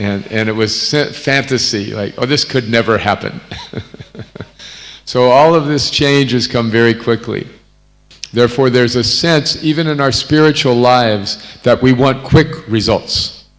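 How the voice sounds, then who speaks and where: Over noticeable background noise, a man with an American accent talks at a medium pitch with ordinary pitch variation. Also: moderate pace. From North America. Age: 70s. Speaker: visiting spiritual teacher. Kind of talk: religious discourse.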